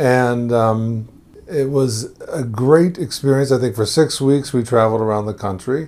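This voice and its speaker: This man has a normal speaking voice, a medium pitch and an American accent. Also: ordinary pitch variation, moderate pace. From Texas, Houston. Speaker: immigrant to Israel, former program worker. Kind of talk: interview, life story. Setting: at his home.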